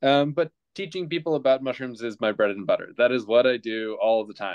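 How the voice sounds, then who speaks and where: A dry recording with no echo and a quiet background. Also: man. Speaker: guest. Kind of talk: self-introduction on a group video call. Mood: friendly, relaxed. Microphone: video call.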